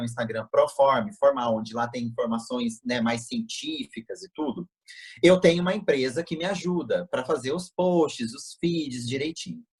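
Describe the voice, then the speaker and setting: Speaking at a moderate pace in a Tocantins accent, a man's somewhat breathy voice carries lively intonation in a dry, close sound with no echo. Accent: Tocantins accent, picked up. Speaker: plastic surgeon. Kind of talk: interview over video call. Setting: video call. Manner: casual, hesitant with fillers.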